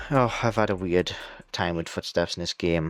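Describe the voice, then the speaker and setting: Quiet and very deep, a man's voice moves at a fairly quick pace with fairly even intonation, the sound dry and close with no echo. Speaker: VTuber gamer. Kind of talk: casual game review monologue.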